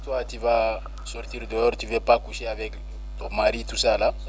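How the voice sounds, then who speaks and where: Noticeable noise sits behind speech delivered fairly slowly. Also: man. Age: 20s. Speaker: business owner. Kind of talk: radio interview.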